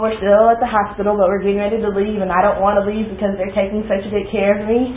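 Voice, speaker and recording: A woman with an American accent and medium pitch, amid audible room echo and noticeable background noise. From Texas, Dallas. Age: 20s. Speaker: student. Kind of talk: class presentation.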